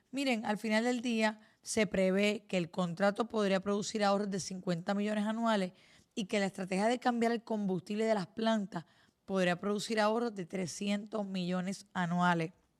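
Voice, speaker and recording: With a Puerto Rican accent, a woman speaks at a medium pitch and moderate pace with fairly even intonation. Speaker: news podcast host. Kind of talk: news commentary.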